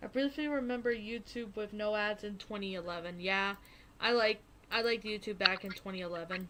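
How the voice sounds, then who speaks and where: Her tone bright and sharp, a woman talks at a fairly quick pace and a fairly high pitch with ordinary pitch variation. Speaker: streamer. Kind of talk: casual chat. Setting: voice chat on a live stream.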